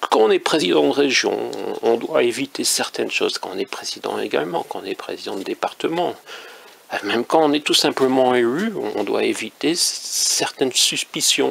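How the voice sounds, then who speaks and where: Noticeable background noise is present. Over it, a man talks at a moderate tempo. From northern France. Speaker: independent author and commentator. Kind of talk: casual monologue commentary. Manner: hesitant, many fillers.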